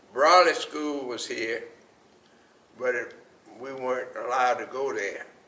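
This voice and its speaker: At a fairly slow pace with long, frequent pauses, a man with an American accent speaks with big swings in loudness and audible room echo. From US South, Mooresville, North Carolina. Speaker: oral history interviewee. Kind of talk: oral history interview.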